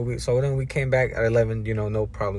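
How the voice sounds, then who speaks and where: A man talks at a moderate pace with medium pitch. His voice is somewhat breathy, with ordinary pitch variation. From United States, Mexican-American family. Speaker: student. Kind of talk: casual monologue, personal story. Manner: casual, many fillers.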